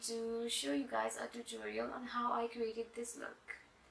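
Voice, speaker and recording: There is noticeable background noise. The woman talking has a fairly high pitch. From Pakistan, Karachi. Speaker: makeup artist and beauty blogger. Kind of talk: product review and makeup tutorial.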